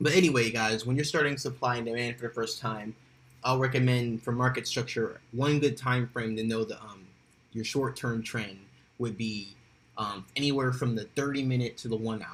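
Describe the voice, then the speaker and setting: A man's somewhat breathy, medium-pitched voice at a moderate pace, with fairly even intonation. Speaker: forex trading educator. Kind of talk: tutorial. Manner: halting, with fillers.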